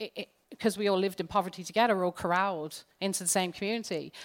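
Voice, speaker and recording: Speaking very fast with an English accent, a woman at medium pitch sounds animated, with ordinary pitch variation, on a very clean recording with a silent background. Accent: English-sounding accent despite being Irish. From Ireland, raised partly in England. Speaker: psychologist and lecturer. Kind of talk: interview. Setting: live stage with audience.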